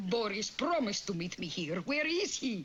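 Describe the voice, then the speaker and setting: A cartoonish character voice with fairly high pitch and very wide pitch swings. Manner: dramatic, calls people darling.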